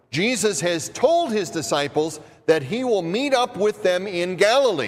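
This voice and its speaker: Over noticeable background noise, a man with an American accent speaks at a moderate pace in a high pitch. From US Midwest. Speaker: pastor. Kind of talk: sermon. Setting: church.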